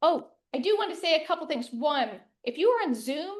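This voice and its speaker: With lively intonation, a woman talks at an extremely high pitch. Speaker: master gardener giving a talk. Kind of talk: lecture. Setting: room with live audience and Zoom. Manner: fast.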